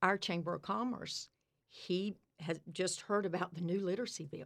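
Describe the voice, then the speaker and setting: An unremarkable speaking voice from a woman with an American accent, medium-pitched, fairly slow, with ordinary pitch variation. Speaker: literacy coach. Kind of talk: casual interview.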